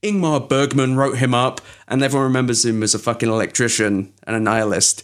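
On a very clean recording with a silent background, a man with an English accent speaks at a very fast pace. His pitch is medium with ordinary variation, and his loudness is very even. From England. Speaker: podcast host. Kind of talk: casual chat.

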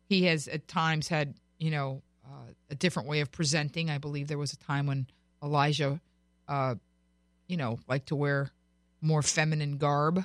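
A woman with an American accent speaks at a moderate pace with long, frequent pauses, her very deep, low pitch held to fairly even intonation. The recording is very clean with a silent background and a dry, close sound with no echo. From Florida. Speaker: radio host. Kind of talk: radio talk show.

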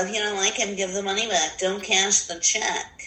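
A female-sounding put-on character voice at medium pitch delivers its lines in a monotone, flat intonation. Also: moderate pace. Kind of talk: whiny, indignant. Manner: annoyed, mocking.

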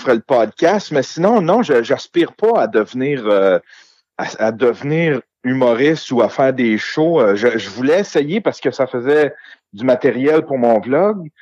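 The sound is dry and close with no echo. A man with a normal speaking voice talks at a fairly slow pace and medium pitch. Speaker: podcaster and amateur comedian. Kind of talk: casual chat.

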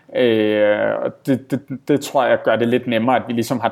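A man at a fairly slow pace. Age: 30s. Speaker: entrepreneur and author. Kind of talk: interview. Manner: halting, many fillers.

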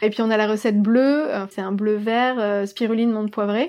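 On a very clean recording with a silent background, a woman with a fairly high pitch and a plain, everyday voice speaks at a fairly slow pace with fairly even intonation. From Provence, southern France. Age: 30s. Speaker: kombucha brewery co-founder. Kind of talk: interview.

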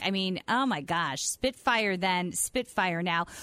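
A woman's normal speaking voice at a medium pitch with ordinary pitch variation. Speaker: radio host. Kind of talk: casual radio chat.

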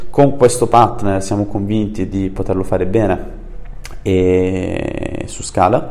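Noticeable background noise and audible room echo surround this man. He speaks very slowly with fairly low pitch and fairly even intonation. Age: 20s. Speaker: startup founder. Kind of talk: interview.

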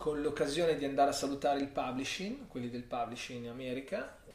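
The voice moves at a very fast pace with ordinary pitch variation amid audible room echo. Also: man. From Milan, Italy. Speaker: character designer. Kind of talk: casual interview chat.

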